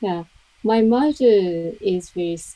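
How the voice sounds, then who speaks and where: Speaking very slowly with ordinary pitch variation, a woman talks in a Japanese accent. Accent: Japanese, soft-edged words. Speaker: English learner. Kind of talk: mock speaking test. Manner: halting.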